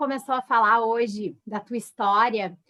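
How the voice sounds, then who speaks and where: A woman with an unremarkable speaking voice talks fairly slowly, her pitch fairly high with ordinary variation. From southern Brazil, Pelotas. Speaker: psychologist. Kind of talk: casual chat.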